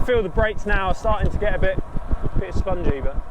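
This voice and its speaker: Over noticeable background noise and audible room echo, a man talks at a very fast pace in a high pitch. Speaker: cycling youtuber. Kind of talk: casual ride commentary. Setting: outdoors on a bike. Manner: loud.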